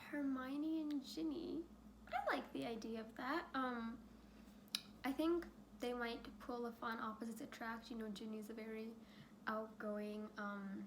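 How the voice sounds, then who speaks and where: Her pitch fairly high with ordinary variation, a woman speaks in a shaky voice at a fairly slow pace with long, frequent pauses and audible room echo. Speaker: youtuber. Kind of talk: casual chat. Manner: hesitant with fillers.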